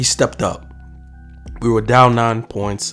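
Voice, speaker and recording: A man with lively intonation talks at a moderate speed as music plays in the background. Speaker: basketball commentator. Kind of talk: casual sports commentary to camera.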